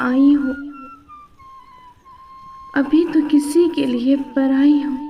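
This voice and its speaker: A woman's high, sad voice in a monotone, flat intonation, with noticeable background noise. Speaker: poetry reciter. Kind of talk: poetry reading. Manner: sad, emotional.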